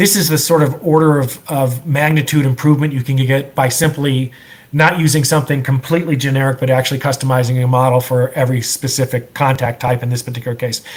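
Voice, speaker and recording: A man speaks at a very fast pace with hardly any pauses. His voice is somewhat breathy and sits at a medium pitch. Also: fairly even intonation. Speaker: software entrepreneur presenter. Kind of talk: presentation. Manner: halting with repetitions.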